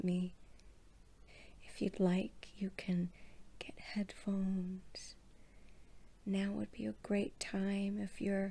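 Soft-spoken and somewhat breathy, a woman talks at a very slow pace in a monotone, flat intonation. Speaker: relaxation video host. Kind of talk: soothing bedtime storytelling. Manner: soft-spoken, drowsy bedtime murmur. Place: home room. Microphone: phone near.

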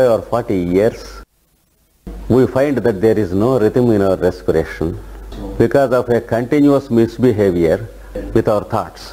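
Fairly slow speech in an ordinary speaking voice, the pitch varying in an ordinary way. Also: man. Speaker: yoga teacher. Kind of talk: guided meditation and lecture. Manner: slow, calm, instructive.

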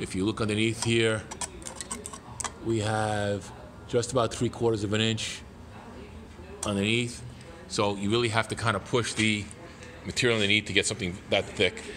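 At a moderate pace, a man with a fairly low voice talks in a monotone, flat intonation, taking long, frequent pauses over light background noise. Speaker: sewing machine demonstrator. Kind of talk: tutorial. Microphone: phone near.

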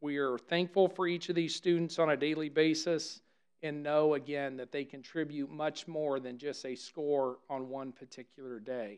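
A man speaks at a fairly slow pace. His intonation stays fairly even against a quiet background. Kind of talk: formal address at a meeting. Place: meeting room. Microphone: podium.

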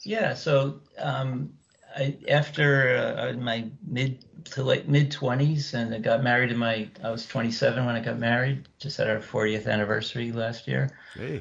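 A man speaks at a fairly slow pace in a medium pitch, his voice somewhat breathy and his intonation fairly even. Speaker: needlepoint business partner and stitcher. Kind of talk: casual interview chat.

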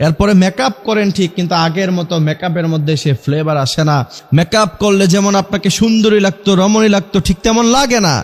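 A man's high pitch with ordinary variation and very even loudness. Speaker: Islamic preacher. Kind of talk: sermon.

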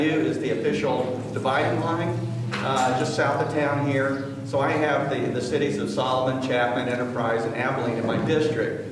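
A man's voice at a moderate pace with hardly any pauses, very even loudness and fairly even intonation, amid noticeable background noise and strong room echo. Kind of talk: public speech to a community meeting. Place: meeting room. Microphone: camera far.

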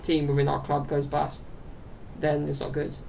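The speech moves at a moderate pace with light background noise behind it. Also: man. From southern England, London area. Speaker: YouTuber and podcaster; YouTuber, podcaster. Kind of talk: casual solo chat to camera. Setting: home recording to camera. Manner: rambling, with many fillers and laughs. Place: home room. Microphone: webcam.

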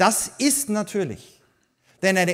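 In a Viennese accent, a man speaks at a high pitch against a quiet background. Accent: Viennese Austrian German. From Austria, Vienna. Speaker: migration policy expert, author; keynote speaker. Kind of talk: keynote speech. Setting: congress stage with audience. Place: hall. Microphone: podium.

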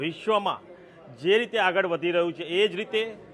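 A man speaks with ordinary pitch variation. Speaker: member of parliament. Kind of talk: media statement. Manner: formal.

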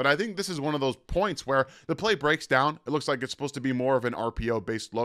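Recorded very cleanly against a silent background, a man with a normal speaking voice talks at a fairly quick pace and medium pitch. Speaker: football draft analyst. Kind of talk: film breakdown commentary. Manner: casual.

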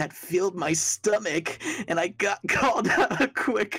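With lively intonation, this is an unforced reading voice.

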